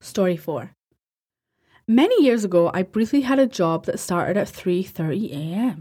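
A woman at a fairly slow pace, with very wide pitch swings and long, frequent pauses, in a very clean recording with a silent background. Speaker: podcast host. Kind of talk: horror story narration, reading reader-submitted first-person night shift tales aloud. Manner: casual, chatty, sometimes giggly, sweary banter in intro.

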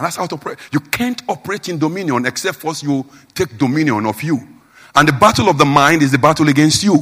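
A man with a Nigerian accent talks at a very fast pace. His fairly high voice has lively intonation. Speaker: preacher. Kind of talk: sermon. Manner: informal, simple, plain-spoken.

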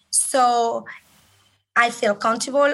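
A woman with a Spanish accent has a bright, sharp tone, a fairly high pitch and ordinary pitch variation. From Colombia. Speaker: respiratory therapist. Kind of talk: interview.

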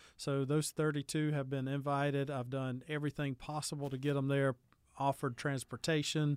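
Someone with a Southern US accent speaks at a moderate pace on a very clean recording with a silent background. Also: man. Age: 30s. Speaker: youth pastor. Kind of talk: casual chat.

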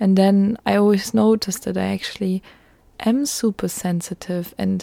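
A woman speaks at medium pitch and a fairly slow pace with fairly even intonation. The sound is dry and close, with no echo. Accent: German. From Germany. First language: German. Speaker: podcast host. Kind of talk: solo personal monologue. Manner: hesitant, many filler words.

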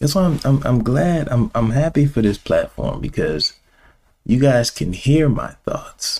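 This man's voice is fairly high and somewhat breathy, with an animated tone. He speaks at a fairly slow pace with lively intonation. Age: 30s. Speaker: podcast host. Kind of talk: casual monologue.

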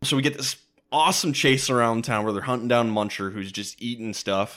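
With an American accent, the speaker uses an ordinary speaking voice at a fairly quick pace on a very clean recording with a silent background. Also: man. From Minneapolis suburbs, Minnesota. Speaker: podcast host. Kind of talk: casual chat.

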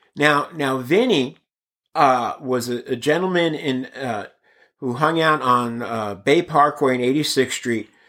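In an American accent, a man talks at a fairly slow pace with a bright, sharp tone. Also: fairly high pitch for a man, ordinary pitch variation. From Brooklyn, New York (Bensonhurst), then Bay Area from age nine. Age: 50s. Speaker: actor and stand-up comedian. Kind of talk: casual interview.

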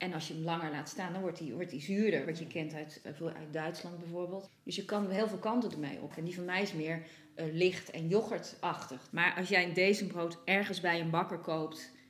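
A woman with a fairly low pitch talks with fairly even intonation and hardly any pauses. Noticeable background noise and audible room echo are present. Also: moderate pace. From Netherlands, Nijmegen. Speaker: home baker. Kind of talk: casual chat. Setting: kitchen at home.

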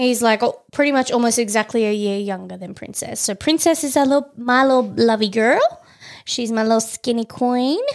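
This speaker has an Australian accent, a moderate pace and ordinary pitch variation. The recording is very clean, with a silent background. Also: woman, high pitch for a woman. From Tasmania, Australia. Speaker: podcast host. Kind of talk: casual chat.

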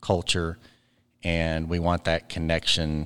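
Someone with an Arkansas accent speaks at a moderate pace in a very clean recording with a silent background. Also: man. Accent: Southern US (Arkansas). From Arkansas (Ozark). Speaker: cooperative board director and bank CEO. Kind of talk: interview.

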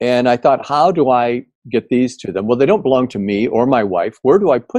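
In an ordinary speaking voice, a man with an American accent talks at a fairly quick pace with a medium pitch and lively intonation. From US Midwest, Indiana. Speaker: tech company founder. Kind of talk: interview.

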